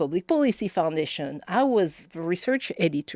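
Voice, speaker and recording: A woman with a strong French accent and very wide pitch swings. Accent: thick French. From France, Paris. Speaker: policy campaign director. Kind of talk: podcast interview. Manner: halting, many fillers.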